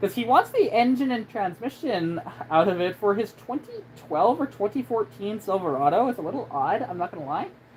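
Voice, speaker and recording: Very wide pitch swings mark this voice, heard over noticeable background noise. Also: woman, fairly high pitch for a woman, fairly quick pace. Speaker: car enthusiast. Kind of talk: casual live stream talk.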